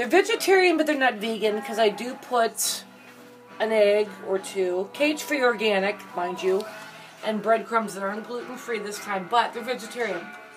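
Over clear music in the background, a woman talks at a moderate pace with ordinary pitch variation. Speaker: home cooking vlogger. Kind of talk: casual vlog chat. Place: kitchen.

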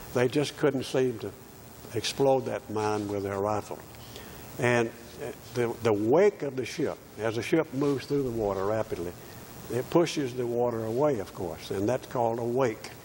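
A man with a Southern US accent and a medium pitch speaks at a moderate pace with ordinary pitch variation, long, frequent pauses and light background noise. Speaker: war veteran. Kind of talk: oral history recollection. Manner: halting. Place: church.

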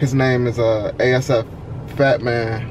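There is loud background noise as a man speaks. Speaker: vlogger. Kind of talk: casual vlog chat. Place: car.

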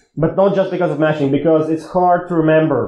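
There is audible room echo around a man's dark, mellow tone. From Latvia. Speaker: security researcher; conference speaker. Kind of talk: conference talk. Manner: halting. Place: hall.

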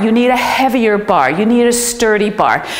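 The woman's speech moves at a fairly slow pace. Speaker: fitness trainer. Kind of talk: tutorial. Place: gym.

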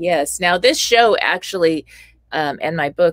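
A woman speaks at a moderate pace in a General American accent. The sound is dry with no echo, and the background is quiet. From US West Coast, California (LA area); California. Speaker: radio show host. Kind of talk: interview. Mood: warm, animated. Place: home room.

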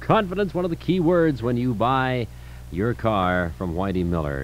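Over background music, a man talks at a moderate pace with very wide pitch swings. The sound is dry, with no echo. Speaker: radio host. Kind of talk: live radio commercial read. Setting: radio studio, old tape recording. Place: studio. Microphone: old recording.

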